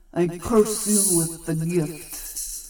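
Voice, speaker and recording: Putting on a character voice, a man speaks high-pitched with fairly even intonation. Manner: menacing, ritualistic.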